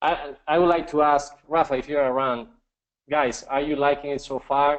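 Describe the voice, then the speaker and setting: Using a Spanish accent, a man speaks at a moderate pace with a fairly high pitch and monotone, flat intonation. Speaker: webinar presenter. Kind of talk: live webinar presentation. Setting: live online broadcast with screen share. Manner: halting, many fillers.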